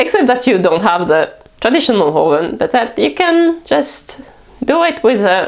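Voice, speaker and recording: Her high voice swings very widely in pitch while her loudness stays very even, at a moderate pace over noticeable background noise. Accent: French. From France. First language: French. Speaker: cooking vlogger. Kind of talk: casual talk to camera.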